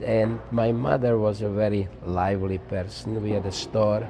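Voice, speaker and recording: Noticeable background noise sits behind this recording. A man talks at a moderate pace with a fairly low pitch. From Czechoslovakia. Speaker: Holocaust survivor. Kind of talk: interview testimony. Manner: halting with fillers.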